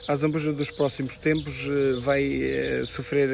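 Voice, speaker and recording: The fairly high-pitched voice of a man comes through noticeable background noise. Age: 30s. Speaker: local election candidate. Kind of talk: interview.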